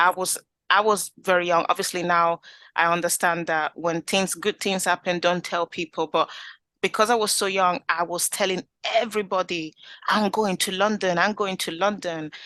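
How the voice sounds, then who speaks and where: The speaker is a woman with a fairly low pitch. She has a slight Italian accent. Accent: Italian accent, slight now. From Italy. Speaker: community group founder. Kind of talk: interview.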